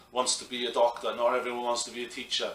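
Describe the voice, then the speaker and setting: A man with a Welsh accent speaks at a fairly quick pace. Noticeable background noise and audible room echo fill the recording. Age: 40s. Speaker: professional wrestler. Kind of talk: interview.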